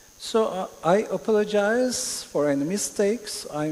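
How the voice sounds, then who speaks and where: Over noticeable background noise, a man speaks with a Turkish accent. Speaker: panelist on metaverse, music metaverse project. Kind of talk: conference panel discussion. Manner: halting, hesitant.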